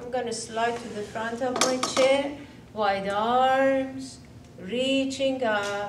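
Background noise is noticeable. The pitch varies in an ordinary way. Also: woman. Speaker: yoga instructor. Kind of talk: guided exercise instruction. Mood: calm, soothing. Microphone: camera far.

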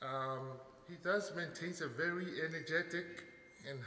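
Room echo can be heard as a man talks. There is some light noise behind him. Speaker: speaker. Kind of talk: formal introduction speech. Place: hall. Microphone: podium.

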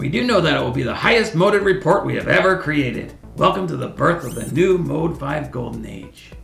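Over clear music in the background, a put-on character voice at a middle pitch moves at a fairly quick pace. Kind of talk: comedy web series sketch. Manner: boastful, excitable.

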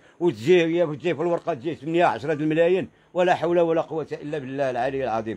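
Talking at a very fast pace, a man has a high pitch. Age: 60s. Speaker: unemployed craft worker; interviewee. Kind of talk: street interview testimony. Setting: outdoors in the old city. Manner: animated. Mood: upset, complaining. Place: street. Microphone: handheld.

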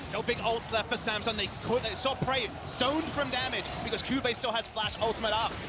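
A man speaks at a fairly quick pace with an animated tone and an extremely high pitch, his loudness very even and hardly any pauses, over noticeable background noise. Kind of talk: esports commentary. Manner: fast, animated play-by-play; excitable, rising pitch at kills.

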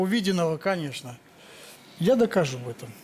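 A man's pitch swings very widely as he talks at an average pace against clear background noise. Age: 60s. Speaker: retired military pilot, husband. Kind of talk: TV talk show testimony. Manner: halting. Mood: emotional, touched. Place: studio. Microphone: lapel.

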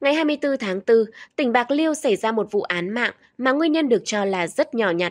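Against a quiet background, with dry, close sound and no echo, the voice moves at a fairly quick pace through very wide pitch swings. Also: woman. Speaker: news presenter. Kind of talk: news reading. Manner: formal.

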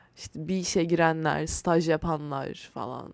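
An unremarkable speaking voice comes through at a fairly slow pace in a very clean recording with a silent background. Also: woman. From Turkey, Istanbul. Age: 20s. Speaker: podcast host. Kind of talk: casual solo monologue. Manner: rambling conversational.

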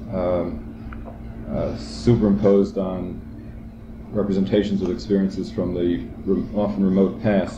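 Noticeable noise fills the background. Over it, a man's voice is heard. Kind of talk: seminar discussion. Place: classroom. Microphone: old recording.

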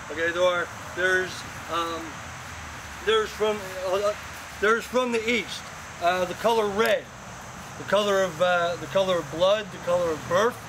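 Noticeable background noise sits under a man's high voice. He keeps a moderate pace and fairly even intonation, with long, frequent pauses. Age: 50s. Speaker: groom and interfaith ministry student. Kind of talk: wedding ceremony speech. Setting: outdoors at a church wedding. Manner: halting, many fillers. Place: garden.

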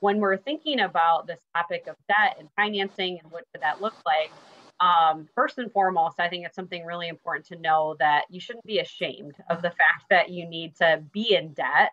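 A woman with a fairly low pitch talks at a moderate pace with ordinary pitch variation and hardly any pauses. Hers is an unremarkable speaking voice, set against a quiet background. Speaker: guest. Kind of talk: interview answer. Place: home room. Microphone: video call.

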